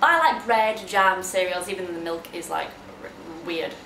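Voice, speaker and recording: A woman with a Yorkshire accent at a moderate pace, amid noticeable background noise. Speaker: kindergarten teacher. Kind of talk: casual vlog talk to camera.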